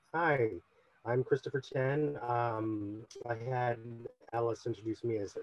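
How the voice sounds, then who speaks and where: With music in the background, a man at medium pitch talks with an American accent. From US Midwest, Cleveland Heights, Ohio. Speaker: actor. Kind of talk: panel discussion.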